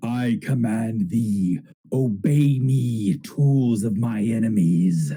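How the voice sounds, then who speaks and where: Using a put-on character voice, a man speaks at a very slow pace with a medium pitch. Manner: commanding.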